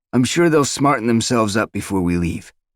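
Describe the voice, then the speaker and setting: Using a put-on character voice at a medium pitch, a man talks at a fairly quick pace. His intonation is lively, and the recording is very clean with a silent background. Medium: read story. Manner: calm, measured.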